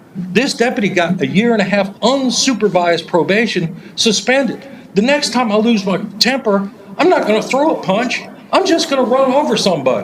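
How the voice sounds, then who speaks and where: Lively intonation at a fairly quick pace, with very even loudness over noticeable background noise. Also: man, high pitch for a man. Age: 60s. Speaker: public commenter at county meeting. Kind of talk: public comment speech. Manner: animated.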